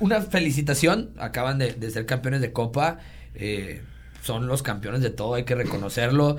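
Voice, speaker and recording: A man's medium-pitched voice with vocal fry, ordinary pitch variation and a moderate pace. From Mexico, Monterrey. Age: 30s. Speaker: sports enthusiast and social media influencer. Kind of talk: casual chat.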